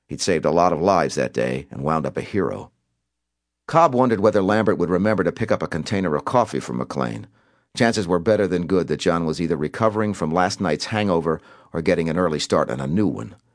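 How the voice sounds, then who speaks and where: A man with a very deep, low pitch and vocal fry, talking at a very fast pace with lively intonation, over a quiet background. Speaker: audiobook narrator. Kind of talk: dramatic audiobook narration of a thriller novel, voicing characters in dialogue.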